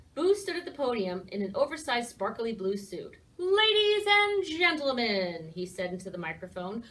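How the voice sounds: Someone reads in a natural way.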